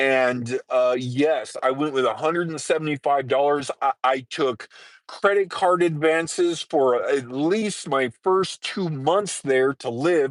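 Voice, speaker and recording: In a dry, close sound with no echo and a quiet background, a man with an American accent talks very slowly at a fairly high pitch with ordinary pitch variation. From Southern California. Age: 50s. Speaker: live streamer, nomad. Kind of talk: casual live stream chat. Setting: parked vehicle by highway.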